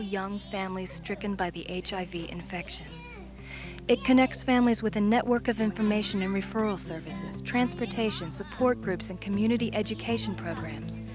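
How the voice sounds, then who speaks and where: Background music can be heard. The talking moves along at a moderate speed. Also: woman. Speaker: voice talent. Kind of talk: fundraising video narration.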